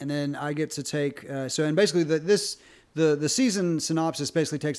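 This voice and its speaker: On a very clean recording with a silent background, a man talks in a plain, everyday voice. His pace is fairly quick and his intonation fairly even. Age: 40s. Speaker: webcomic writer. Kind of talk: casual chat.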